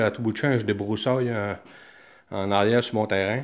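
A man in a Quebec accent against a quiet background. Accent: Québécois French. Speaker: DIY hobbyist. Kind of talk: show-and-tell tutorial. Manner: halting, many fillers. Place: workshop. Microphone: phone near.

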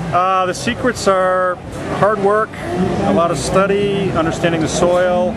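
Fairly slow delivery, dry sound with no echo, and loud background noise. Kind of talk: interview answer. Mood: jovial, laughing. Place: open country.

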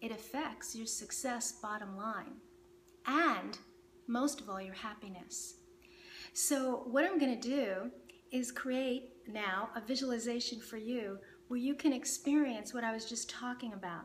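A woman speaks at a fairly slow pace in a calm, soothing tone with a high pitch. Her intonation is lively, and light background noise is present. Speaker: meditation teacher. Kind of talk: guided meditation. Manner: calm, slow, soothing; gentle, instructive. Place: home room.

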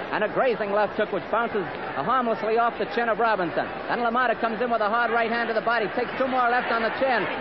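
An extremely high-pitched, energetic man's voice at a very fast pace and very even loudness, with crowd noise behind it. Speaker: radio boxing commentator. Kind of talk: live radio sports commentary, blow-by-blow. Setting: vintage 1945 radio broadcast. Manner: fast, energetic.

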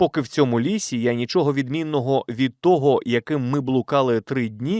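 In a natural reading voice, the pitch shifts with ordinary variation.

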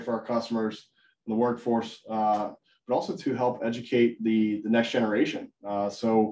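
A man speaks at a moderate pace in a dark, mellow tone. Audible room echo is present. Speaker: webinar host, sales manager. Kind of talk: webinar presentation. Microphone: video call.

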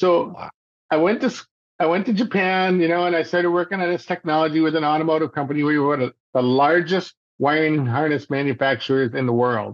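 A man talks at a fairly quick pace with an American accent, his pitch fairly high and its variation ordinary. The background is quiet. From Michigan, thumb area. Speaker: inventor and entrepreneur; podcast guest. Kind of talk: interview conversation. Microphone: video call.

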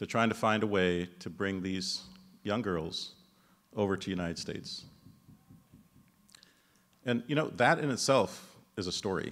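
With a fairly low pitch, a man speaks at a moderate pace with ordinary pitch variation. He takes long, frequent pauses over a quiet background. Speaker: presenter. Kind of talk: speech introducing an honoree. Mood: measured storytelling. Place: hall. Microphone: podium.

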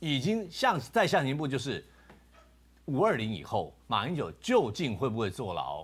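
With vocal fry, a man's voice swings very widely in pitch. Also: medium pitch for a man, moderate pace. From Taiwan. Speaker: political commentator. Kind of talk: talk show debate; political commentary. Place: studio.

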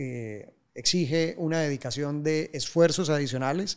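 A man's fairly high voice with a Colombian accent and ordinary pitch variation, over a quiet background. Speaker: civil engineer, project director; guest. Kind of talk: interview. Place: studio. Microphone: studio mic.

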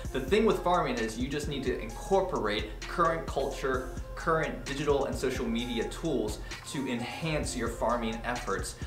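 Speech at a moderate pace over clear music in the background. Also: man. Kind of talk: tutorial. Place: office.

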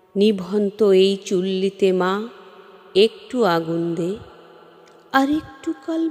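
With music in the background, the intonation stays lively. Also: woman. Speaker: poetry reciter. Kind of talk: poetry reading.

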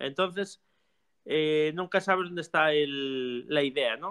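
Against a quiet background, a man with a normal speaking voice talks at a fairly slow pace, with fairly high pitch and fairly even intonation. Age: 40s. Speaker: music teacher and theater company director; music teacher. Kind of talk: casual chat. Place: workshop. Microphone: video call.

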